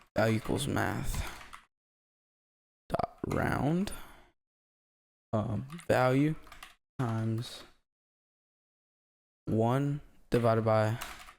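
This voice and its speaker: The voice is quiet and very slow. Long, frequent pauses break up the speech. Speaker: programming tutorial maker. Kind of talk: coding tutorial narration. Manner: quiet, breathing hard.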